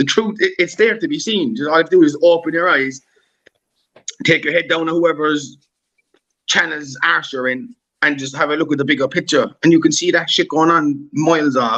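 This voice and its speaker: A man speaks with a Cork accent at a fairly quick pace. His tone is bright and sharp. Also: fairly high pitch for a man, ordinary pitch variation. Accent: Irish (Cork). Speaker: YouTuber on a live panel. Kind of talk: heated live-stream debate. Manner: animated.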